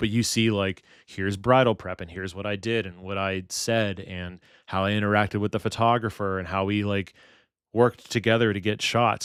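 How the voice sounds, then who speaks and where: A man with an American accent uses an ordinary speaking voice, fairly low in pitch, at a fairly quick pace with fairly even intonation. The sound is dry and close with no echo, on a very clean recording with a silent background. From Pittsburgh, Pennsylvania. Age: 30s. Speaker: wedding videographer and streamer. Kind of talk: casual live stream chat. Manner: casual, thinking out loud.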